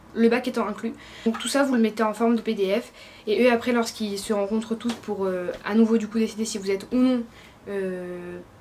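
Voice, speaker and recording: A woman talks in a monotone, flat delivery. Noticeable background noise runs underneath. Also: fairly high pitch for a woman. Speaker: student vlogger. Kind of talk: vlog tutorial. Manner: fast.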